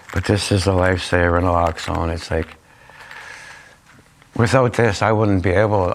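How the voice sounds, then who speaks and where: With a Canadian accent, the speaker talks fairly quickly and with fairly even intonation over noticeable background noise. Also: man. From Niagara region, Ontario, Canada. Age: 50s. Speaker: community volunteer who reverses overdoses. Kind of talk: interview answer. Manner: casual, conversational.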